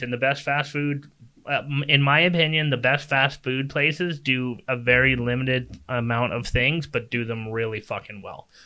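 A man talks at a moderate pace in a medium pitch. He has an ordinary speaking voice. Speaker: podcast co-host. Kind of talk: casual banter debate show. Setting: home spare bedroom studio, livestreamed.

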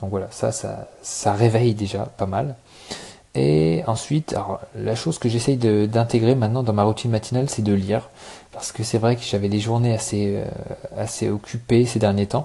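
The speech is somewhat breathy and dark, mellow in tone, moving at a moderate pace with ordinary pitch variation. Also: man, medium pitch for a man. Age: 20s. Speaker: podcaster. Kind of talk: casual solo talk. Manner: hesitant, many fillers.

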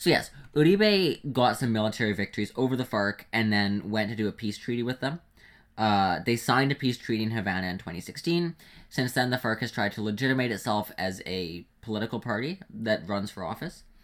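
A man with a normal speaking voice at medium pitch talks at a fairly quick pace with lively intonation, in a very clean recording with a silent background. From Canada. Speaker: podcast co-host. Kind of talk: casual chat.

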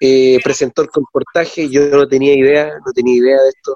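A man speaks fast-ish, at a fairly quick pace, in an ordinary speaking voice that is fairly high. His intonation is fairly even, and the sound is dry and close with no echo. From Chile, Calama. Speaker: former student colporteur. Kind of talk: casual chat.

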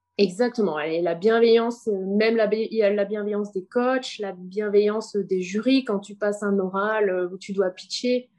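She is a woman who talks with a normal speaking voice in a medium pitch. Her pace is fairly slow, with hardly any pauses and fairly even intonation. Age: 30s. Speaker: entrepreneur. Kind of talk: interview.

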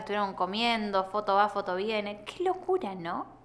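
In a Rioplatense accent, a woman speaks at a moderate pace with very wide pitch swings. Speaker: podcast host. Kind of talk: casual chat.

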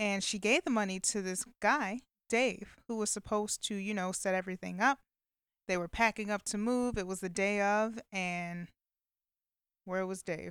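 A woman with a normal speaking voice talks at medium pitch and moderate pace, with fairly even intonation and a dry, close sound with no echo. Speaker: podcast host. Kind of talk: solo casual chat, movie review.

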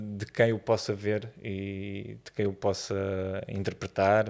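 Speaking very slowly, a man uses a fairly low pitch. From Portugal, Vila Franca de Xira. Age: 30s. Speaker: photographer. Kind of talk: interview conversation. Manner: halting, many repetitions and fillers.

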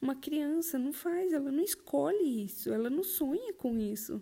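With a dark, mellow tone and lively intonation, a woman talks at a fairly slow pace. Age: 30s. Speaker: podcast guest, mother sharing abuse survivor story. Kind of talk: testimony.

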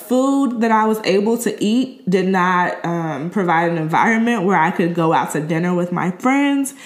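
The speaker moves at a fairly slow pace with lively intonation, and audible room echo surrounds the voice. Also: woman. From Chicago. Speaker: podcast host. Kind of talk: casual interview.

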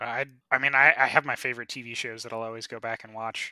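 With a bright, sharp tone, a man talks at a very fast pace. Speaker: podcast host. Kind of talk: casual podcast chat.

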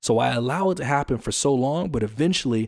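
A man with an American accent speaks at medium pitch in a dark, mellow tone with lively intonation, the sound dry and close without echo. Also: very clean recording, silent background. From US. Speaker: podcast host. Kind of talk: casual monologue. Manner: fast.

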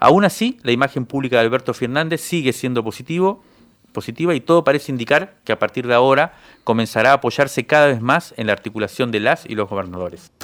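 A man talks at a very fast pace with medium pitch and lively intonation, in a dry, close sound with no echo on a very clean recording with a silent background. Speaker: radio host, magazine editor. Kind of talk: radio show narration.

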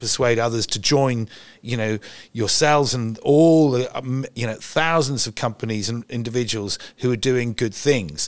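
A man at a medium pitch speaks at a moderate pace with ordinary pitch variation on a very clean recording with a silent background. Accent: English. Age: 60s. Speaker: environmental campaigner. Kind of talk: interview. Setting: event venue.

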